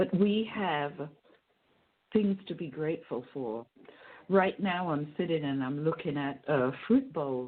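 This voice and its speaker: At a fairly slow pace and with long, frequent pauses, a woman speaks in a very deep, low voice with lively intonation. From England. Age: 60s. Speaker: poet and playwright. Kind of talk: radio interview, casual chat. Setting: radio program, at home. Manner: animated.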